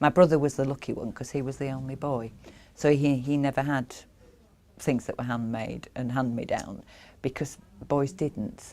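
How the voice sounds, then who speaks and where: A woman with a Yorkshire accent speaks at a moderate pace in a very deep, low pitch and a dark, mellow tone, with fairly even intonation and long, frequent pauses. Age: 50s. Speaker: craftswoman. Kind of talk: interview. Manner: halting.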